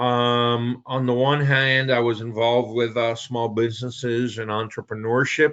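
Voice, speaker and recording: The speech moves at a fairly slow pace. The intonation is flat and monotone. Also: man. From Puerto Rico. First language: Spanish. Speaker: business broker. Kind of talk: presentation.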